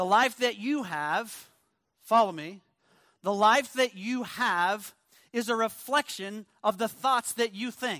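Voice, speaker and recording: A man's high, bright and sharp voice, raised and projected, at a very slow pace with ordinary pitch variation, on a very clean recording with a silent background. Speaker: guest preacher. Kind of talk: sermon. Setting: church. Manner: loud.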